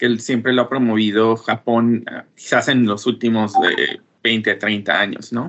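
An unremarkable speaking voice carries ordinary pitch variation. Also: man. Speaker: former scholarship holder, business development professional. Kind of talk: radio interview. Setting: remote connection.

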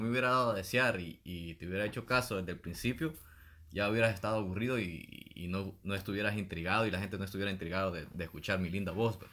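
A man with a Salvadoran accent talks at a very fast pace, his pitch fairly low with ordinary variation and his tone bright and sharp. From El Salvador, San Antonio Pajonal. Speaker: podcast co-host. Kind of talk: casual chat.

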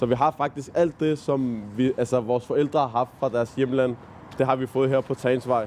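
A man at a moderate pace and medium pitch, with very even loudness and fairly even intonation. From Copenhagen, Nørrebro. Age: 20s. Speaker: volunteer tour guide, student. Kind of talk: guided walking tour. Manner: halting, many fillers.

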